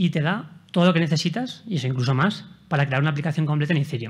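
A man's somewhat breathy, fairly high voice at a very fast pace, with ordinary pitch variation. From Spain. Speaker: software developer; conference speaker. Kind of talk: conference talk with live coding demo. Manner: hesitant, many fillers. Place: hall.

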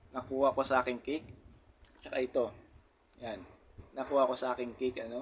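The speech comes at a very fast pace, broken by long, frequent pauses, with a monotone, flat intonation. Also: man, medium pitch for a man. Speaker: motovlogger. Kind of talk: casual vlog talk.

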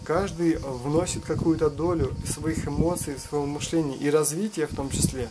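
Noticeable background noise sits behind this man's voice. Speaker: video blogger. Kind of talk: opinion monologue. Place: open country. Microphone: phone near.

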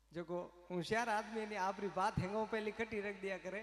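This man talks at a fairly slow pace with a high pitch. His delivery is monotone and flat, with audible room echo. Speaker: stage host telling a story. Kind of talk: humorous storytelling to an audience. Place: stage. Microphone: handheld.

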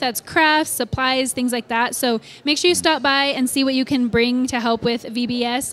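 A woman speaks at a moderate pace. Her voice is high, with fairly even intonation. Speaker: church staff announcer. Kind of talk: church announcements chat. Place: church.

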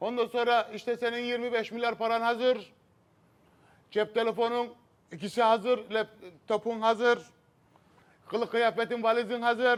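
In a flat monotone and at a fairly slow pace, a man talks with an extremely high pitch. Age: 40s. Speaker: scam victim telling his story. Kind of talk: TV talk show testimony. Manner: halting, many filler sounds.

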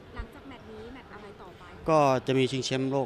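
Light background noise behind a man's dry voice, without any echo. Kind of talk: interview answer. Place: hall. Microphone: handheld.

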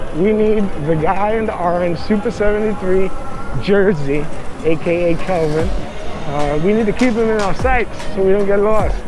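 A man with a high-pitched voice speaks over clear background music in a dry recording with no echo. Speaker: e-bike vlogger. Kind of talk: casual ride commentary. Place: motorbike.

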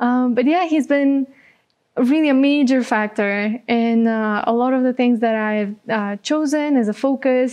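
A woman with a Bulgarian accent speaks in a dark, mellow tone against a quiet background. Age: 20s. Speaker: social entrepreneur; guest. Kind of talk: interview. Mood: warm, smiling, relaxed. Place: studio. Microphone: lapel.

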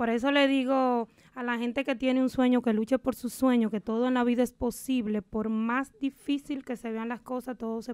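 A woman talks at a moderate pace with hardly any pauses, her pitch high. Her intonation stays monotone and flat against a quiet background. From Dominican Republic, Valverde province. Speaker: típico singer. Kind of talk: interview. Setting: radio studio. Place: studio. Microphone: studio mic.

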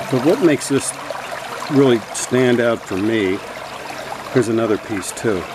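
Over noticeable background noise, a man talks at a fairly slow pace with ordinary pitch variation and a dry sound with no echo. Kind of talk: casual vlog show-and-tell. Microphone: phone near.

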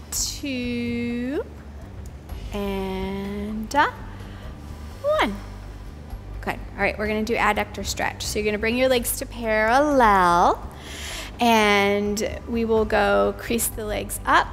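With music in the background, a woman speaks at a very slow pace with long, frequent pauses. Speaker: pilates instructor. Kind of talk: exercise class cueing. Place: gym. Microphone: headset.

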